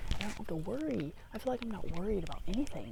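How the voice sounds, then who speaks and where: With audible room echo around her, a woman talks at a fairly quick pace with lively intonation. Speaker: spiritual vlogger. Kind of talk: casual vlog monologue. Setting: outdoors by a tree. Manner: rambling, hesitant with fillers.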